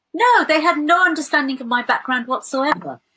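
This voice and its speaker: A woman with a West Midlands accent, lively intonation and a fairly quick pace. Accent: British English, West Midlands. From England, West Midlands. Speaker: theologian. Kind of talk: interview. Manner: hesitant fillers.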